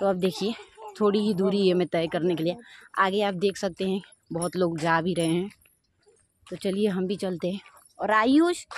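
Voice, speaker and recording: A woman speaks at a moderate pace with fairly even intonation and long, frequent pauses, in a dry sound with no echo and light background noise. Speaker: vlogger. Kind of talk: casual vlog chat. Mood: cheerful, relaxed. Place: street. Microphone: phone near.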